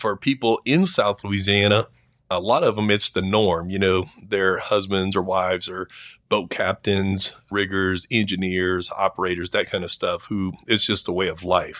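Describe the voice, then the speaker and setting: In a very clean recording with a silent background, a bright, sharp voice speaks at a moderate pace in a monotone, flat intonation, the sound dry and close with no echo. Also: man, fairly low pitch for a man. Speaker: commercial diving instructor. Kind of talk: interview.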